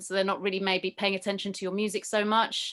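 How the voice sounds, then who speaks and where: A woman's medium-pitched voice in a London accent, against a quiet background. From London, England. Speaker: rapper and yoga teacher. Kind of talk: interview answers. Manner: hesitant.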